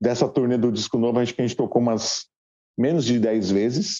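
A man is speaking here. His pitch is medium and his pace is moderate. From Guarulhos, São Paulo, Brazil. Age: 40s. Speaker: rock musician. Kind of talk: casual interview.

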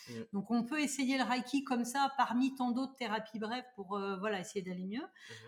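At a moderate pace, a woman speaks in a high voice. Her pitch shows ordinary variation. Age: 30s. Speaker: Reiki master and energy practitioner. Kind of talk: casual chat.

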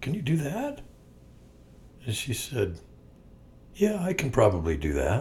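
A man talks at a fairly slow pace with vocal fry and very wide pitch swings. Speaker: podcast co-host. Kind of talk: casual chat.

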